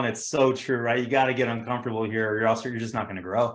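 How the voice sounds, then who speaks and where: A man talks with a Californian accent. His pace is very fast. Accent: California. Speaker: insurance sales agent and team leader. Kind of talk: motivational talk and Q&A on a team video call.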